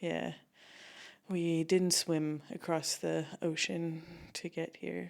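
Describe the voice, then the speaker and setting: A woman with a Canadian accent speaks at a very slow pace. She leaves long, frequent pauses. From Canada, British Columbia. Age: 30s. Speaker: comedian. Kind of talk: casual chat.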